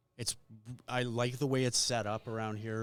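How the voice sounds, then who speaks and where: A man's medium-pitched voice holds a monotone, flat intonation as he talks at a moderate pace. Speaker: interviewer. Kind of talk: interview questions.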